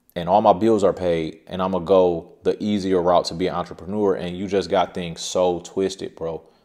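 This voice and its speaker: At a fairly quick pace, the voice stays in monotone, flat intonation over a quiet background. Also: man. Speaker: self-employed creator. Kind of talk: casual advice vlog. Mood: earnest, cautionary. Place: home room.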